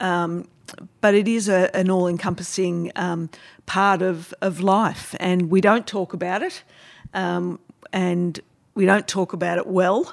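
In an Australian accent, a woman with a medium pitch speaks at a fairly slow pace in a monotone, flat intonation. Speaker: podcast host. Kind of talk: casual interview.

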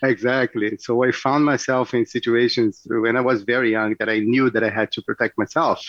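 A man with a Portuguese accent at medium pitch, flat monotone intonation, moderate pace and hardly any pauses. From Brazil, Rio de Janeiro. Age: 40s. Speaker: jiu-jitsu instructor. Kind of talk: radio interview.

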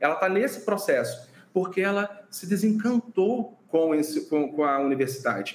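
A man's high-pitched voice with lively intonation at a moderate pace, amid noticeable background noise. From Brazil, interior of Rio de Janeiro state. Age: 30s. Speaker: physician and burnout researcher. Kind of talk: interview.

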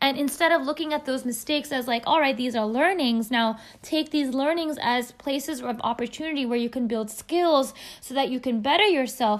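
A woman talks at a fairly quick pace with an American accent. Her voice is high for a woman, with ordinary pitch variation. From US, California Bay Area. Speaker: podcast host, self-growth coach. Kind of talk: solo podcast monologue.

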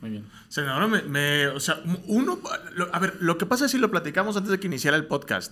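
A man's high voice at a very fast pace, with very wide pitch swings and big swings in loudness. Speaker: podcast host. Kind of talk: casual interview. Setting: studio. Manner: halting.

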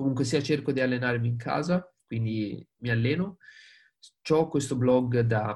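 A man speaks at a moderate pace with a medium pitch and a somewhat breathy quality. He has a Tuscan accent. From Tuscany, Prato. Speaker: sales engineer. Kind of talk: webinar talk. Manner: animated.

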